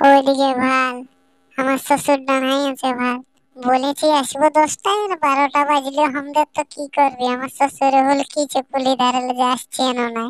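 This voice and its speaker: A woman performs a high-pitched cartoonish character voice at a moderate pace. The sound is dry and close, with no echo. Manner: rustic, hurried.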